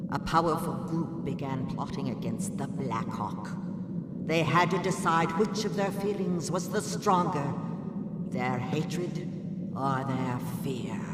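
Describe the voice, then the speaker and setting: A cartoonish character voice comes at a fairly slow pace with clear echo and loud background noise. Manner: formal, measured.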